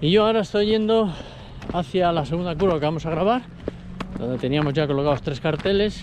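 A man with a high pitch and lively intonation talks at a fairly quick pace, broken by long, frequent pauses. The sound is dry with no echo, and background noise is noticeable. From Spain. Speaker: motorsport video reporter. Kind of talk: casual on-location reporting. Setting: outdoors. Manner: animated. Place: open country. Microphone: phone near.

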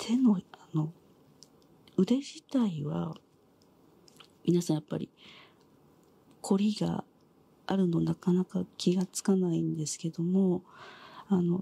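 A soft-spoken woman talks very slowly, with long, frequent pauses, in a somewhat breathy, dark, mellow tone. Her pitch sits fairly low, and the sound is dry with no echo. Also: ordinary pitch variation. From Japan, Tokyo. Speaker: head massage and hand reflexology therapist. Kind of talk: ASMR treatment talk, explaining to a client. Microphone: lapel.

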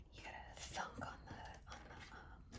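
The clip is a woman whispering. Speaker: ASMR creator. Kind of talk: ASMR talk while doing a jigsaw puzzle. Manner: whispered. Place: home room. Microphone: phone near.

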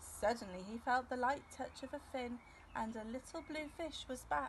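A woman speaks at a moderate pace with a high pitch. Her pitch variation is ordinary.

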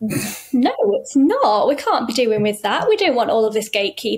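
The speaker is a woman. She talks in a Yorkshire accent. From northern England, Yorkshire. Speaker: writer and consultant with chronic illness; interview guest. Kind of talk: casual chat. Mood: amused, lightly emphatic. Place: home room. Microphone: webcam.

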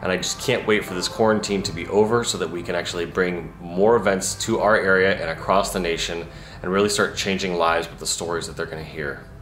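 With hardly any pauses, a man with a very deep, low voice talks very fast in fairly even intonation, with audible room echo and faint music in the background. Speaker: entrepreneur vlogger. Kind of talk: casual vlog chat. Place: home room. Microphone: phone near.

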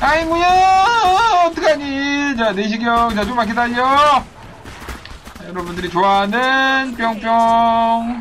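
A man speaks very slowly at an extremely high pitch, with lively intonation. Noticeable background noise runs behind him. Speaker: video game streamer. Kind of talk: live gameplay commentary. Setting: online livestream with chat viewers. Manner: animated, playful, joking.

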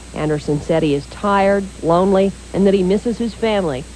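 Woman with a medium pitch, lively intonation and a fairly quick pace, with noticeable background noise. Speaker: news anchor. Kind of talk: 1980s TV news reading, scripted broadcast. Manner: formal; brisk, even, authoritative newsreader delivery.

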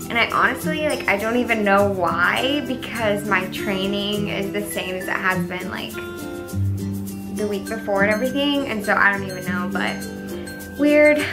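A woman speaks at a moderate pace over clear background music. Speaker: fitness vlogger. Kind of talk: casual vlog chat. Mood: cheerful, upbeat. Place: home room. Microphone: camera far.

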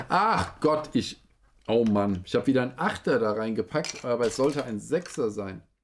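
With light background noise behind him, a man speaks at a moderate pace and medium pitch, his intonation lively. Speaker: toy review streamer. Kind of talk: live stream building commentary. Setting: live stream. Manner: animated. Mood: playful, self-mocking. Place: home room.

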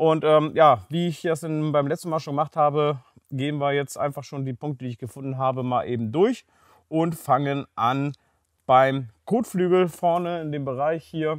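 Over a quiet background, a man talks with ordinary pitch variation in a dry sound with no echo. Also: moderate pace. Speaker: car quality reviewer. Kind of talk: review commentary. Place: garage.

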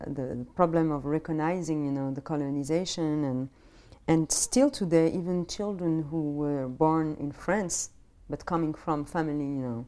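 With a dark, mellow tone and a very deep, low pitch, a woman speaks in fairly even intonation. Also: moderate pace, very clean recording, silent background. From Morocco. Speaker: jazz singer. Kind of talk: interview answer.

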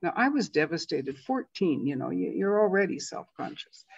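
Big pitch swings mark a woman's fairly low voice, which has a slightly husky edge and vocal fry at a moderate pace.

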